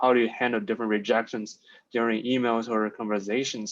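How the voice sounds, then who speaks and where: A man with a non-native accent talks at a fairly quick pace. His medium-pitched voice keeps fairly even intonation. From outside the US, international student. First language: not English. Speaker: finance student, coaching client. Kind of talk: interview. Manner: hesitant, many fillers.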